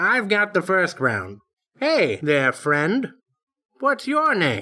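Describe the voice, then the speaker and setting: A put-on character voice at middle pitch, very slow, with very wide pitch swings. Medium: read story. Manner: genial, measured.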